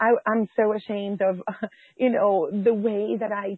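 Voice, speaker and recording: A woman speaks at a moderate pace in a medium pitch. Her intonation stays monotone and flat. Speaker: pastor and homeschool mom. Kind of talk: interview.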